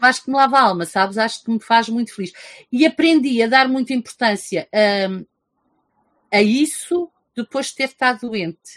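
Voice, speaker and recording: With a normal speaking voice, a woman of fairly high pitch talks at a moderate pace with lively intonation in a dry, close sound with no echo. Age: 50s. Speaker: teacher and book reviewer. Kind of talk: casual interview.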